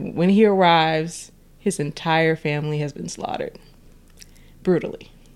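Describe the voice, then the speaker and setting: A woman with a very deep, low pitch speaks with big swings in loudness, fairly even intonation and long, frequent pauses. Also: moderate pace. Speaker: podcast co-host. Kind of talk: casual chat. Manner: playful, bantering.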